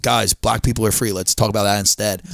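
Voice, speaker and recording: A man speaks with a Philadelphia accent at a fairly low pitch. The recording is very clean, with a silent background. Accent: Delco. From Delaware County, Pennsylvania. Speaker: stand-up comedian. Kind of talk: casual chat.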